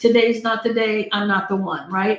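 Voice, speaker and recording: Noticeable background noise under a woman's fairly high pitch. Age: 60s. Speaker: tarot reader. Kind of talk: live-stream tarot reading. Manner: casual, chatty.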